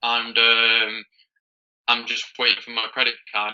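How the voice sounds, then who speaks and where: A bright, sharp tone with a British accent. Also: man. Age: young (19). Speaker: beginner online seller. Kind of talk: coaching call.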